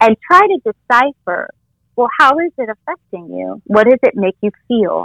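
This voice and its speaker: A woman with a bright, sharp tone swings her pitch very widely, recorded dry and close with no echo. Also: fairly high pitch for a woman, moderate pace. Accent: American. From Orange County, California. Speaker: yoga teacher. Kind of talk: interview.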